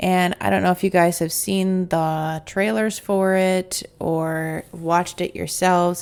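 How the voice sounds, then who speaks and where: At a fairly slow pace, this is an unremarkable speaking voice. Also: woman. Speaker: podcast host. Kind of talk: casual podcast monologue.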